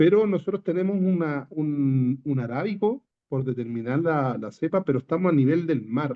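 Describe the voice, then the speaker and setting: This man has a Chilean accent and a fairly high pitch. He speaks at a moderate pace with lively intonation. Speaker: coffee grower asking a question. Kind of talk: audience question. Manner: halting, stammers.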